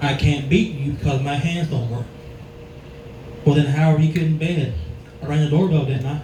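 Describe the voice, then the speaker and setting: A man with an American accent speaks with fairly even intonation and long, frequent pauses. Noticeable background noise and audible room echo are present. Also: fairly high pitch for a man, fairly quick pace. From North Carolina. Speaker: comedian. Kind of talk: stand-up. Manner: halting.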